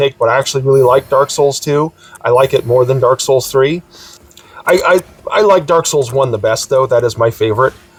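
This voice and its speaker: A fairly high-pitched man at a fairly quick pace, very even in loudness, amid noticeable background noise. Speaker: gaming YouTuber. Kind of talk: casual video blog. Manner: halting with many fillers.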